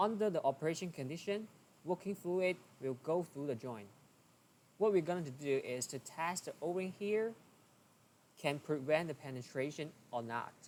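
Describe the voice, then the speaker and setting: This man talks at a moderate pace with a non-native accent. His intonation is lively. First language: not English. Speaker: engineering tutorial creator. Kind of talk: tutorial.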